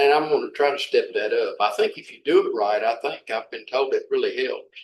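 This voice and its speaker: The speaker talks at a fairly quick pace with an Arkansas accent. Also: man. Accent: Southern US (Arkansas). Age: 70s. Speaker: city official. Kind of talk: workshop Q&A discussion. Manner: halting, many repetitions.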